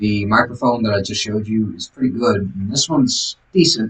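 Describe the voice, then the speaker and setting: A man mumbles at a fairly quick clip, his medium-pitched voice somewhat breathy and his pitch varying in an ordinary way. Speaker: vlogger. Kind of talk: casual diary vlog monologue. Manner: mumbling; halting, many fillers. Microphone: audio became bad after skip.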